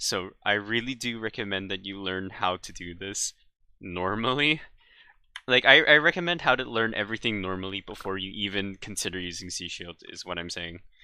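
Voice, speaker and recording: A man's voice has a bright, sharp tone and fairly low pitch, with ordinary pitch variation. He keeps a moderate pace, and his loudness swings widely. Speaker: game guide maker. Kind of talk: gameplay tutorial voice-over. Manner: casual, halting, many fillers.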